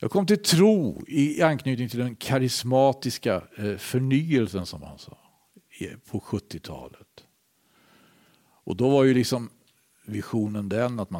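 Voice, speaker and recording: A plain, everyday voice with lively intonation at a fairly slow pace. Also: man. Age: 60s. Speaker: preacher. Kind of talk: sermon.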